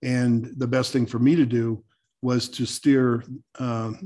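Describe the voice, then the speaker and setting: The background is silent, and the recording very clean. A man delivers his words in a monotone, flat intonation. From New Mexico. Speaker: home builder and green building expert. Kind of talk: interview conversation.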